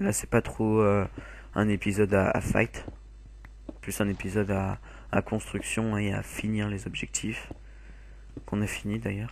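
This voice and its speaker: A man at a fairly slow pace with long, frequent pauses, quiet background. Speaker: gaming video creator. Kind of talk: gameplay commentary.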